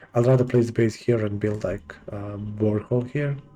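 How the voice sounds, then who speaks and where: A man with a non-native accent, medium pitch, dark, mellow tone and moderate pace. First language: not English. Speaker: gaming let's play host. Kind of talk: gameplay commentary. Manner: hesitant, many fillers.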